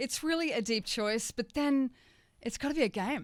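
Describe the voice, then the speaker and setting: An Australian accent comes through at a moderate pace with lively intonation on a very clean recording with a silent background. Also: woman. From Australia, Gold Coast, Queensland. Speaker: author and spiritual teacher. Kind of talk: radio interview. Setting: radio studio. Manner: casual, animated.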